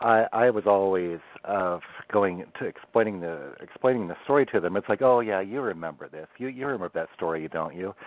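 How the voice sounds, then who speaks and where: A man with a Pacific Northwest accent, fairly low in pitch with ordinary variation, at a fairly quick pace. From Oregon coast, US Pacific Northwest. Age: 50s. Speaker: bigfoot history researcher. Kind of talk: podcast interview. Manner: halting, many fillers and repeats.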